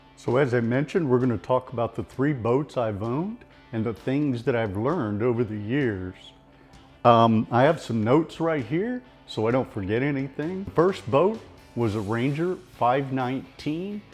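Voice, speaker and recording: Over music in the background, someone speaks with lively intonation in an American accent. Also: man, medium pitch for a man, moderate pace. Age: 60s. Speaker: club tournament bass angler. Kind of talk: casual talk to camera. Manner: honest, conversational.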